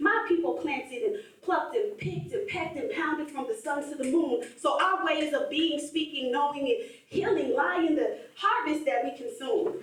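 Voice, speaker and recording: A woman speaks at a moderate pace in an extremely high pitch with very wide pitch swings. Audible room echo surrounds her voice. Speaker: spoken word poet. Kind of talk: spoken word performance. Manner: rhythmic.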